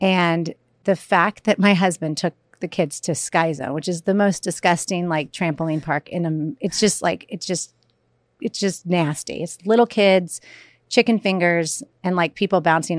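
A woman with an ordinary speaking voice talks at a moderate pace and a fairly low pitch with ordinary pitch variation, in a very clean recording with a silent background and a dry, close sound with no echo. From US South. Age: 40s. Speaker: comedian and author. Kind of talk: casual chat.

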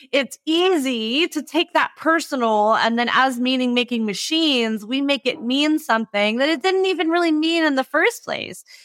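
Recorded very cleanly with a silent background and a dry, close sound with no echo, a woman speaks with an American accent at high pitch. Her intonation is lively, her loudness very even, and she talks at a moderate pace with hardly any pauses. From California. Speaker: fitness business coach. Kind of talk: interview conversation.

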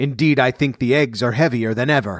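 A man puts on a booming, growling character voice at a medium pitch. He speaks at a fairly quick pace. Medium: read story. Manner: menacing, gloating.

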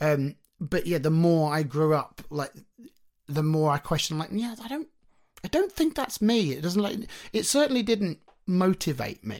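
With a British accent, a man talks at a moderate pace and a high pitch, his lively intonation broken by long, frequent pauses. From UK. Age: 30s. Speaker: singer-songwriter. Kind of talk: casual chat.

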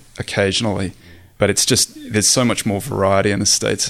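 At a fairly quick pace, a man with an Australian accent speaks in a fairly low, monotone voice with flat intonation.

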